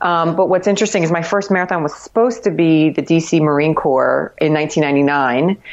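A woman with an American accent talks at a moderate pace in an unremarkable speaking voice, her pitch fairly low and its variation ordinary. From Miami, Florida. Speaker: marathon runner and cycling community member. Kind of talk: casual interview. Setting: Skype call.

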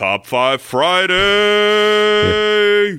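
This man puts on a character voice pitched high. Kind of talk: UFC announcer.

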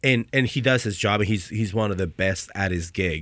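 A man with an ordinary speaking voice talks at a fairly quick pace, fairly low in pitch with ordinary pitch variation. The recording is very clean and the background silent. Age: 30s. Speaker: former college football kicker. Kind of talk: casual chat. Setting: studio.

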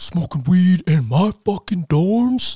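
Fairly slow and at a middle pitch, the speaker puts on a character voice. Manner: funny imitated delivery.

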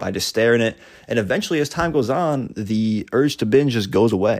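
A man in a normal speaking voice at medium pitch, fairly quick pace and lively intonation, on a very clean recording with a silent background. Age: 20s. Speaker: solo podcaster on eating disorder recovery. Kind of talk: casual solo monologue. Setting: lying in bed with a microphone.

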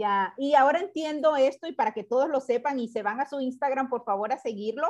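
A woman speaks at a fairly quick pace with hardly any pauses, her high voice full of lively intonation. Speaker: podcast host. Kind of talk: interview. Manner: warm, effusive.

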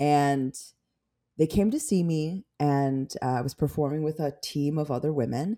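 A woman with an American accent, a very deep, low pitch and a dark, mellow tone, on a very clean recording with a silent background. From Chicago area, US Midwest. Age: 40s. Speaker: stand-up comedian. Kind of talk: casual chat.

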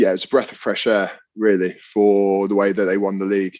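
A man speaks at a fairly quick pace and a fairly low pitch. His intonation is monotone and flat. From London. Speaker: rugby player. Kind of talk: casual chat.

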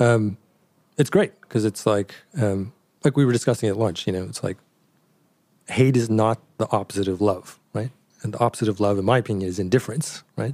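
Speaking with a Canadian accent, a man moves at a fairly quick pace but leaves long, frequent pauses. His fairly low voice is dark and mellow in tone, with ordinary pitch variation. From Canada. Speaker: designer and brand co-founder. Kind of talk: interview. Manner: hesitant, many fillers.

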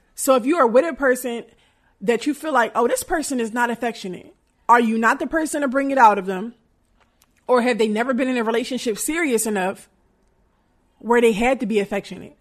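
A woman speaks at a fairly quick pace in a high, animated voice, leaving long, frequent pauses against a quiet background. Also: ordinary pitch variation. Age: 30s. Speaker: podcast host and performer. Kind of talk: casual monologue.

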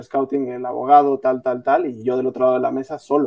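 At a moderate pace, a man speaks with a dark, mellow tone, medium pitch and fairly even intonation. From Mexico. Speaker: footballer. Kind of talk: casual chat. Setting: livestream.

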